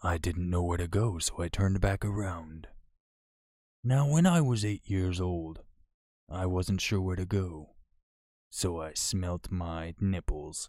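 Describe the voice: The tone is resonant and slightly mellow, at a slow pace with ordinary pitch variation. The recording is very clean, with a silent background. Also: man, low pitch for a man.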